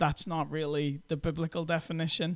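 A man with a Northern Irish accent speaks at a moderate pace, fairly high and monotone, with flat intonation. The recording is very clean, with a silent background. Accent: Northern Irish (Belfast). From Northern Ireland (Belfast). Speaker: pastor. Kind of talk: interview.

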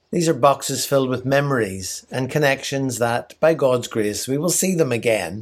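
Here a man with an Irish accent talks at a moderate pace, his medium pitch showing ordinary variation. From Ireland. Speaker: missionary leader. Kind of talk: scripted devotional message.

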